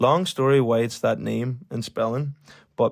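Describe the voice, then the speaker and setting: With a Donegal accent, a man speaks at a moderate pace and medium pitch with ordinary pitch variation, in a very clean recording with a silent background. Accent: Donegal Irish. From Ireland, County Donegal. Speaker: podcast host. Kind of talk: personal storytelling monologue.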